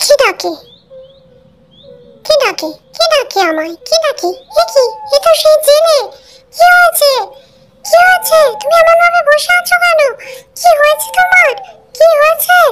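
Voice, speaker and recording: A cartoonish character voice, extremely high in pitch, speaks at a moderate pace. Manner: gentle, caring.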